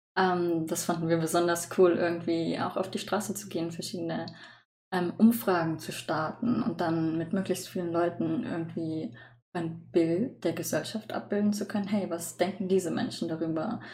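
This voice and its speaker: A woman's dark, mellow tone comes out somewhat breathy. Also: fairly low pitch for a woman, ordinary pitch variation, moderate pace. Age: young. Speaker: student podcast host. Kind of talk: casual chat.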